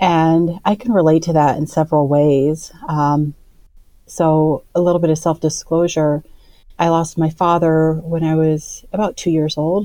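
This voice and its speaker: In a Midwestern American accent, a woman speaks with a very deep, low pitch, a dark, mellow tone and fairly even intonation. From Iowa, US Midwest. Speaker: artist and advocate. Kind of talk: interview conversation.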